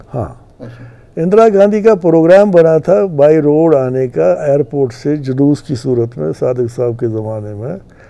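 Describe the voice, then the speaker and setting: Pitch swings very widely in a man's fairly high voice. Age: 80s+. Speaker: retired police officer. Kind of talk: interview answer, recounting history.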